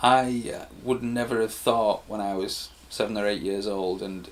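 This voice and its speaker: A man with a Teesside accent speaks at a medium pitch and a fairly slow pace, his intonation fairly even. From Stockton-on-Tees, England. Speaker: musician. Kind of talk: interview answer. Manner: hesitant, occasional repetitions.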